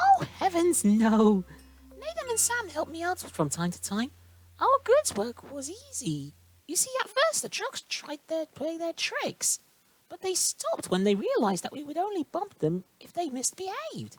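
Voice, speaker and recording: A female-sounding voice puts on a character voice pitched extremely high and moves at a moderate pace. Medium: audio drama.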